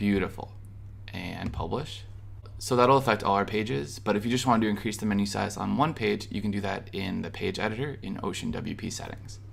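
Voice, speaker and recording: In an American accent, a man with a fairly low pitch and vocal fry speaks at a fairly quick pace in an upbeat tone, with ordinary pitch variation and audible room echo. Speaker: web design tutorial creator. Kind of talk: screen-recorded tutorial. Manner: casual, upbeat.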